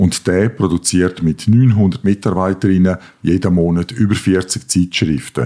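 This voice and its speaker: A man's very deep, low voice with a dark, mellow tone, very even loudness, ordinary pitch variation and a fairly slow pace. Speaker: editor-in-chief. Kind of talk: scripted comedic dialogue.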